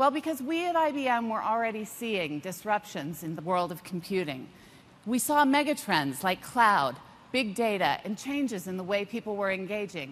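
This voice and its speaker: A woman with very wide pitch swings talks at a moderate pace. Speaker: corporate executive; keynote presenter. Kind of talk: keynote presentation. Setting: stage with audience. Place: stage. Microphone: lapel.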